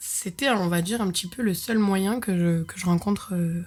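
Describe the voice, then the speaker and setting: Moving at a moderate pace, a woman speaks with a fairly low pitch, a somewhat breathy quality and a dark, mellow tone. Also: very clean recording, silent background. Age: 20s. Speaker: podcast host. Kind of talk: storytelling. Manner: casual, many hesitations.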